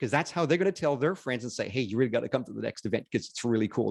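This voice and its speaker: A man with a Northern Ontario accent speaks at a medium pitch with vocal fry against a quiet background. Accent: Canadian, Northern Ontario. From Canada, Northern Ontario. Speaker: business networking speaker. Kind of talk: webinar presentation. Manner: animated.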